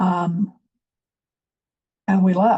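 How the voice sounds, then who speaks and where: A woman with an American accent speaks at a fairly low pitch, with vocal fry. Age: 70s. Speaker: activist speaker, former newspaper editor. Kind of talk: public address. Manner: hesitant, many fillers.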